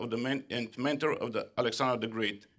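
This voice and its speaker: At a moderate pace, a man talks in a medium pitch against a quiet background. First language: French (stated); speaks Bulgarian. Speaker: government official. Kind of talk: conference speech. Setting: conference hall. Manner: halting, many hesitations.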